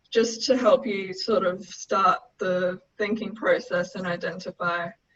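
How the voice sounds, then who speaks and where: With an Australian accent, a woman speaks fairly slowly at a medium pitch, her pitch varying in an ordinary way. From Darwin, Northern Territory, Australia. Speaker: senior consultant, chartered accountant. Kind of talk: webinar presentation on business finance.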